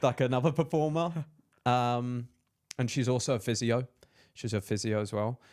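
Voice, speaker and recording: This man has an English accent and a medium pitch, speaking at a moderate pace with ordinary pitch variation. He leaves long, frequent pauses, and the recording is very clean with a silent background. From England, Peterborough. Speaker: entrepreneur and content creator. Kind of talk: casual chat.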